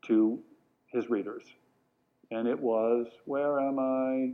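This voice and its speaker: A man with an American accent speaks at a very slow pace, his medium-pitched voice showing ordinary pitch variation. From New York, Long Island. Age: 60s. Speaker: educator and speaker. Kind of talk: talk to a live audience. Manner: animated.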